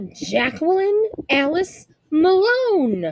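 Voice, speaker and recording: A woman's put-on character voice, extremely high-pitched, with very wide pitch swings and some hissing. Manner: hissing angrily.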